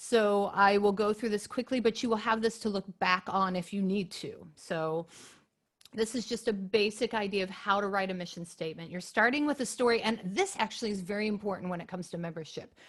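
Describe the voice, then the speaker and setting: A woman with an unremarkable speaking voice talks at a fairly quick pace, medium pitch and ordinary pitch variation. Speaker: chorus director and webinar presenter. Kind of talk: webinar presentation. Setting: video call webinar with screen share.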